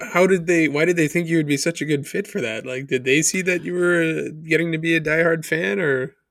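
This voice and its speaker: An unremarkable speaking voice from a man, pitched fairly high, its pitch varying in an ordinary way. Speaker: podcast co-host. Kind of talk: casual interview chat.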